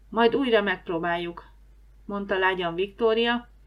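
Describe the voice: The plain reading aloud has pitch that shifts by usual amounts.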